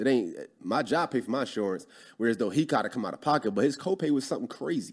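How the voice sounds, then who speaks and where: A man's voice has vocal fry and very wide pitch swings. The recording is very clean, with a silent background. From Philadelphia, US. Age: 30s. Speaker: real estate investor. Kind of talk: casual interview.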